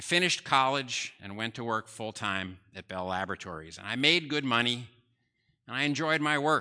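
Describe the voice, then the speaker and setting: An American-accented man speaks at a moderate pace with a bright, sharp tone. His intonation is lively, his loudness swings widely, and the background is quiet. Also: medium pitch for a man. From US Northeast, New Jersey. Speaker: preacher. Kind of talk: sermon. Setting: church.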